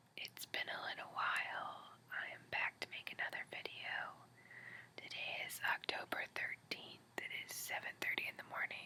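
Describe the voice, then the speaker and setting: The speaker is whispering at a moderate pace. Long, frequent pauses break up the speech. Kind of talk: casual talk to camera. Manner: whispered.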